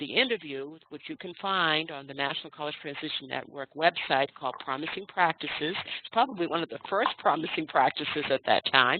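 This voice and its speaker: At a fairly quick pace with hardly any pauses, a woman with a very deep, low pitch speaks with big swings in loudness. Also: lively intonation. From Maine. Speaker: adult education trainer. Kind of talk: webinar presentation. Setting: webinar call.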